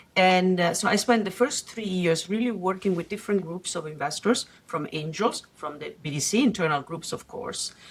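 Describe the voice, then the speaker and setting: Noticeable background noise sits behind a voice with a slight Italian accent and ordinary pitch variation. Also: woman, medium pitch for a woman, moderate pace. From Italy. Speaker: venture capital investor. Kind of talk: podcast interview. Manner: hesitant fillers.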